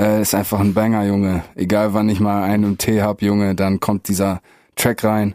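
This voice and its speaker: A man speaks at a moderate pace in a dark, mellow tone with flat, monotone intonation and very even loudness. The recording is very clean and dry, close with no echo and a silent background. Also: fairly low pitch for a man. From northwest Germany (Meppen, Emsland). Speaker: rapper. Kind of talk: casual chat.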